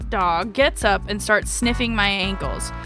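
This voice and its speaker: Over music in the background, a woman talks at a moderate pace in an animated tone. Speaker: VTuber streamer. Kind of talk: casual livestream story reading with chat. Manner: chaotic, animated.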